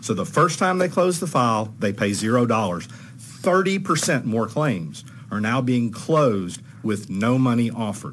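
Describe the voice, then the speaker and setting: In a room with audible echo, a man speaks at medium pitch with very wide pitch swings. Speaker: trial lawyer testifying at legislative hearing. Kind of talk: legislative committee testimony. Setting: committee hearing room. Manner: fast.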